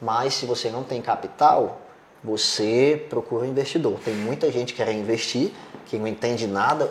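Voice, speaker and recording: A man at a moderate pace and medium pitch, with ordinary pitch variation and noticeable background noise. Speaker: podcast host on sports betting business. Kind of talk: casual chat.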